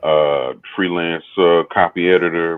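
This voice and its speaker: A man's very deep, low voice with a Texas accent, monotone and flat, at a very slow pace. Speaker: teacher and copy editor. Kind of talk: casual panel discussion.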